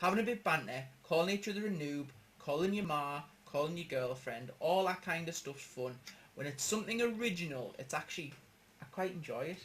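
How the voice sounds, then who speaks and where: Very wide pitch swings in a strong Geordie accent. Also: man. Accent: strong northeastern Geordie. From northeast England. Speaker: gaming podcast host. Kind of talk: casual chat.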